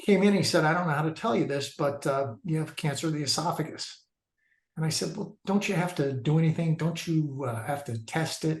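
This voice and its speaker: Pitch shifts in the usual way as the words come fairly fast. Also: man, fairly high pitch for a man. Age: 60s. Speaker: cancer survivor. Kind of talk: personal testimony. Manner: halting, many fillers.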